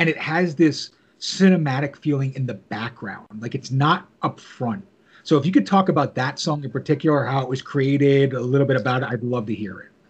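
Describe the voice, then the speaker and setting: A man talks at a fairly quick pace and a fairly high pitch. His voice is somewhat breathy, with big swings in loudness. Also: ordinary pitch variation. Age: 40s. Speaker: podcast host. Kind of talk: interview.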